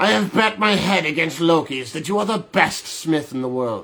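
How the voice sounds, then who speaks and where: A man speaks in a shrill, put-on character voice at a moderate pace. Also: fairly high pitch for a man. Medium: read story.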